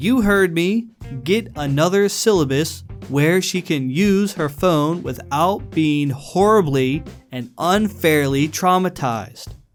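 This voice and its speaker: Music plays in the background as a man talks at a very slow pace with lively intonation. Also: fairly high pitch for a man. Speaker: reddit story narrator. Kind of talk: reddit story reading.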